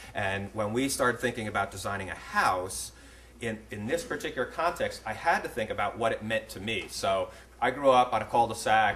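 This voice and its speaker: A man in an American accent speaks at a fairly quick pace. Audible room echo and noticeable background noise are present. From upstate New York. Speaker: architect. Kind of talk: lecture. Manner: fast; halting.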